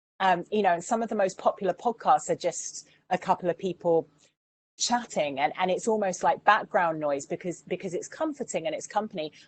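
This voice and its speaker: In an English accent, a woman speaks at a medium pitch. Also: dry, close sound with no echo. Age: 40s. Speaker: radio presenter and campaigner. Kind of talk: online Q&A masterclass.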